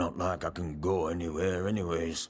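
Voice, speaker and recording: Putting on a character voice, a man growls in a gruff, raspy, very deep, low pitch with monotone, flat intonation at a moderate pace. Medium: video game. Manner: gruff, surly.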